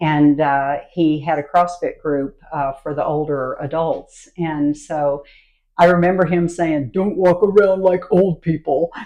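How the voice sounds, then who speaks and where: A woman speaks in an ordinary speaking voice, fairly low-pitched and fairly slow. Her intonation stays fairly even. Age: 60s. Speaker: fitness coach. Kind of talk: casual chat. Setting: podcast interview.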